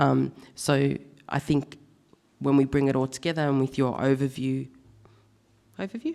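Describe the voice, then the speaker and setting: A woman with an Australian accent speaks at a moderate pace in a very deep, low pitch with a dark, mellow tone. Her intonation is fairly even, broken by long, frequent pauses. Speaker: panel facilitator. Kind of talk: conference panel moderation. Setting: stage with audience. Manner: halting.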